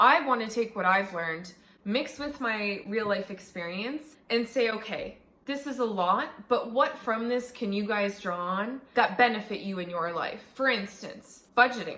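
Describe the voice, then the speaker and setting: Noticeable background noise sits under a woman's voice. Her pitch is fairly high, with ordinary variation. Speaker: YouTuber, business student. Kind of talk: channel introduction vlog. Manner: fast; casual, animated.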